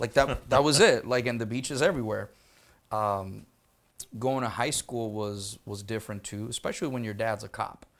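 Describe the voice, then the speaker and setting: A man's medium-pitched voice with a Spanish accent, ordinary pitch variation and a moderate pace, on a very clean recording against a silent background. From Puerto Rico. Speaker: military interpreter and educator. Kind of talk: casual podcast interview. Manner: casual, swears, conversational.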